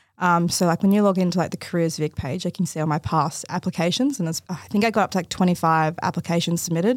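A woman with an Australian accent talks very fast with hardly any pauses, her pitch fairly low and ordinary in variation. The sound is dry and close with no echo, a very clean recording with a silent background. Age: 20s. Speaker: forensic scientist. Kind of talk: casual chat. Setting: studio.

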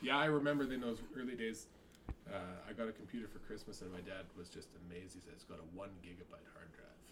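A man talks at a very fast pace in a fairly low voice, with lively intonation. His loudness swings widely, and room echo is audible. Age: 40s. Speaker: comedian. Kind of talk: casual chat.

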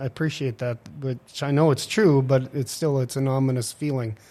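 In a very clean recording with a silent background, a man with an ordinary speaking voice talks at medium pitch and a moderate pace, his intonation fairly even. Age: 50s. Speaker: city council president. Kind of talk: casual interview. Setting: studio.

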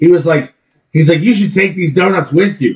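A man's speech at a fairly quick pace. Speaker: podcast co-host. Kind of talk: casual chat. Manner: loud.

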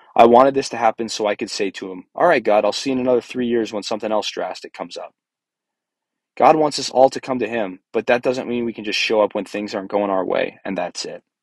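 A man speaks very fast at a medium pitch, with ordinary pitch variation and big swings in loudness. The recording is dry and close with no echo, against a quiet background. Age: 20s. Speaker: podcast host sharing breakup story. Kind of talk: personal storytelling monologue. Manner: hesitant, with fillers.

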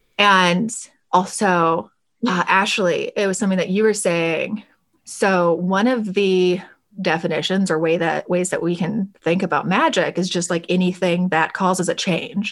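Speaking at a fairly slow pace in an American accent, a woman with an unremarkable speaking voice keeps a medium pitch, fairly even intonation and very even loudness. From US South, Alabama. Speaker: tarot podcast host and deck creator. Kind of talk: scripted show intro; casual interview chat.

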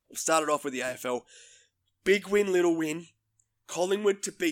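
With an Australian accent, a man speaks at a high pitch. His pace is moderate, and the recording is very clean with a silent background. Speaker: sports podcast host. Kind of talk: casual sports chat. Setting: studio.

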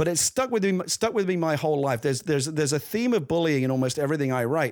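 A man talking at a very fast pace, with lively intonation. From London, East End. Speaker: screenwriter and novelist. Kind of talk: casual chat. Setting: video call.

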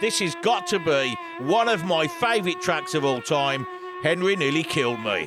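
Lively intonation from a high-pitched man at a moderate pace, with music in the background. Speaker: radio host. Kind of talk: unscripted radio dj patter between records. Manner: chatty, relaxed, rambling, upbeat; animated, casual, ad-libbing between songs.

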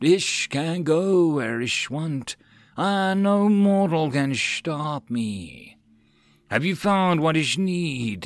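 Using a put-on character voice, a man talks very slowly at a fairly high pitch, with a hissing quality. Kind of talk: speaks in broken hissing English. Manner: menacing, imperious.

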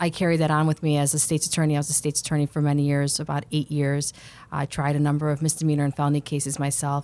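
A woman with an American accent speaks very fast in a very deep, low pitch, her tone dark and mellow. Her intonation is flat and monotone, her loudness very even, on a very clean recording with a silent background. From Chicago, northwest side. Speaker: lawyer and judicial candidate. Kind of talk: panel interview. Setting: studio.

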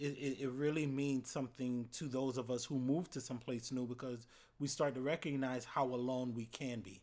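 In an American accent, a man talks at a medium pitch and a moderate pace with flat, monotone intonation. The recording is very clean, with a silent background. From Florida. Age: 30s. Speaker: university student-affairs educator.

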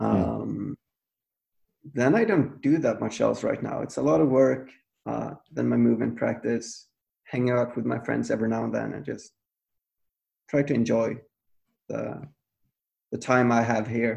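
A man with a Swedish accent talks at a moderate pace, leaving long, frequent pauses. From Sweden. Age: 30s. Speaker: movement coach. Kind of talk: casual chat. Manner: halting.

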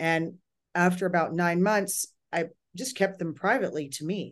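The woman's voice sits fairly low in pitch. It varies in an ordinary way. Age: 50s. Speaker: psychic. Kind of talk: casual interview conversation.

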